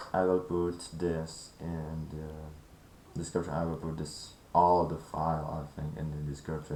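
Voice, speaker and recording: A man's very deep, low voice with a dark, mellow tone, monotone and flat at a fairly slow pace, with audible room echo. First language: not English. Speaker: gaming tutorial creator. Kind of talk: tutorial. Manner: halting.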